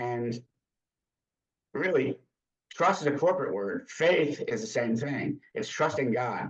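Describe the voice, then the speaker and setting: Fairly slow, somewhat breathy speech from a man with a fairly high pitch, lively intonation and long, frequent pauses. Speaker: church volunteer coach and former business leader. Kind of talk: interview testimony.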